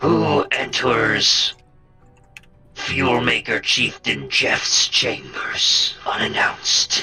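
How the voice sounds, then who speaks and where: A raspy, put-on character voice from a man at a very slow pace, with faint music in the background. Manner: menacing, imperious.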